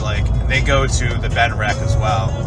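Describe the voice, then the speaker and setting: Music plays in the background as a man speaks, with room echo audible. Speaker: travel vlogger. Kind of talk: casual vlog narration. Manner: loud, talking over music; halting, many fillers.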